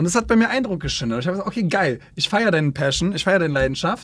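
A man speaks in a somewhat breathy voice. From Berlin. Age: 20s. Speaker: influencer manager. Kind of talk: casual interview.

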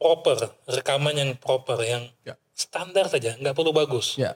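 A somewhat breathy man speaks at a moderate pace in a fairly high pitch, with a dry, close sound and no echo. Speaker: show host. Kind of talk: casual chat. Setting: studio.

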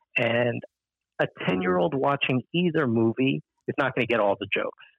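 Speaking at a medium pitch and fairly quick pace, a man uses lively intonation. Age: 30s. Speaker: pop culture commentator. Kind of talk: casual chat.

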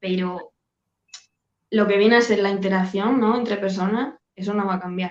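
A woman at medium pitch and moderate pace, with fairly even intonation and long, frequent pauses. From Spain, Badajoz (Extremadura). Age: 30s. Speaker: sales closer. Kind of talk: interview. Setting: video call.

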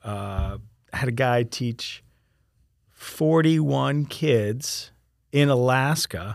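In a very clean recording with a silent background, a man with an American accent and medium pitch speaks at a very slow pace, with ordinary pitch variation and long, frequent pauses. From Florida, Sarasota. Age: 40s. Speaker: former professional wakeboarder. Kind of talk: casual interview chat.

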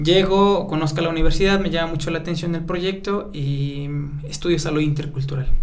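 A man talks with fairly even intonation. Noticeable background noise and audible room echo fill the recording. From Mexico, Atlacomulco, State of Mexico (Mazahua community). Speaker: intercultural health practitioner. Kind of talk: radio interview.

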